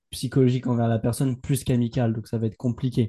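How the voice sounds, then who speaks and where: A man talks at a very fast pace against a quiet background. His tone is dark and mellow. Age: 20s. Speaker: entrepreneur. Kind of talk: casual chat.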